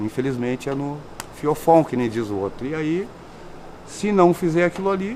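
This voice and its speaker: Against noticeable background noise, a man with a fairly high voice speaks at a moderate pace using lively intonation and long, frequent pauses. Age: 60s. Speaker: inmate, ex-drug user. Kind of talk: testimony.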